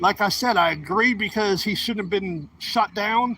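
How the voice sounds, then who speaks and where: A bright, sharp, raised and projected male voice, fairly slow in pace. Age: 40s. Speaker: live streamer. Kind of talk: casual live-stream talk while riding. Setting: outdoors on a bike ride.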